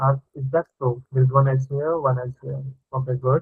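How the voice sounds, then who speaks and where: A man talks at a medium pitch with monotone, flat intonation. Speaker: programming teacher. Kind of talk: live online coding lesson. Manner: casual, thinking aloud; fast.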